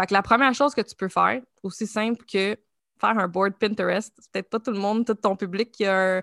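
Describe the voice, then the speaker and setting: Against a quiet background, a woman with a medium pitch speaks with fairly even intonation in a dry, close sound with no echo. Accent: Quebec. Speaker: creative agency founder and art director. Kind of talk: interview.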